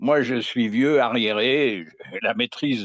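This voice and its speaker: Against a quiet background, a man talks very slowly with lively intonation in a dry, close sound with no echo. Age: 80s+. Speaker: viewer calling in to a live astrology show. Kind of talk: casual chat. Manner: halting.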